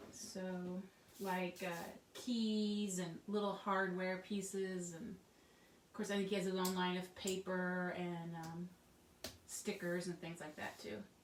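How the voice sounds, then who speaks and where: A woman mumbles quietly at a very slow pace and medium pitch. Her intonation is monotone and flat, with audible room echo. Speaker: craft tutorial host. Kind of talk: tutorial. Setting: home craft studio. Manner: casual, chatty.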